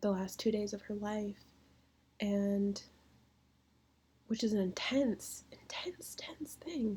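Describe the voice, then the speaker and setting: Somewhat breathy, a woman's dark, mellow tone comes through at a very slow pace. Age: 20s. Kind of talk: casual talk to camera.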